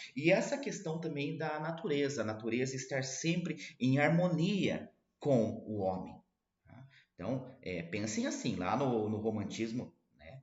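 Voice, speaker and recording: A somewhat breathy man speaks at a medium pitch and a fairly slow pace, his pitch swinging very widely. His loudness rises and falls sharply, and room echo is audible. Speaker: literature teacher. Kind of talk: lecture.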